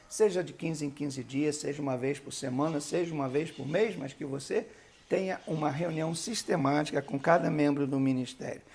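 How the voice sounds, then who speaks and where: This man has a fairly high pitch and ordinary pitch variation, talking at a moderate pace. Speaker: bishop, church leadership teacher. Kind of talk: lecture.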